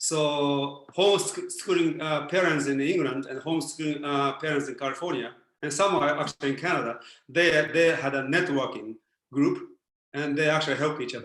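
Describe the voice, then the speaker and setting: Audible room echo surrounds a man's fairly high voice. He talks at a moderate pace with fairly even intonation. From Japan. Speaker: philosopher and former Zen Buddhist priest. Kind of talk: Q&A answer on a video talk. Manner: hesitant with many fillers.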